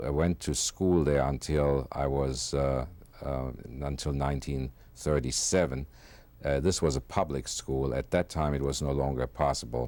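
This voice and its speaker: A man with a German accent speaks at a moderate pace in a very deep, low pitch, his tone dark and mellow and his intonation fairly even. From Germany, Frankfurt. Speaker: Holocaust survivor. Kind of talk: oral history interview. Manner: halting, many fillers.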